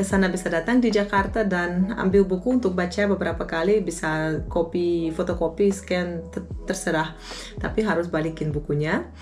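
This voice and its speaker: A woman with a fairly low pitch speaks at a moderate pace and with fairly even intonation, with audible room echo and noticeable background noise behind her. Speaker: YouTuber, lecturer. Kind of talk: Q&A vlog.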